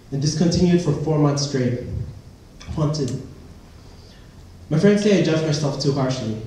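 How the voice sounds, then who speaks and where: Between long, frequent pauses, a man with a fairly high pitch speaks over noticeable background noise. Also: ordinary pitch variation, moderate pace. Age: 20s. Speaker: spoken word performer. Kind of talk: spoken word poetry performance at open mic night. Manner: personal, emotional, rhythmic delivery.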